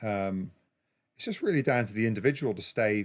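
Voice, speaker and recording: With an English accent, a man speaks at a moderate pace in a medium pitch with ordinary pitch variation. The recording is very clean, with a silent background. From England. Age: 40s. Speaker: DJ and music producer. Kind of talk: casual livestream chat. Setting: livestream. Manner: halting, many fillers.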